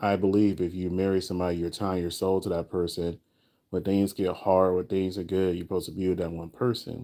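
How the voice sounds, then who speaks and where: The tone is dark and mellow, with an American accent and monotone, flat intonation at a fairly quick pace. It is a very clean recording with a silent background. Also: man. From Florida. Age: 40s. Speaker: live streamer. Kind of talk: casual chat.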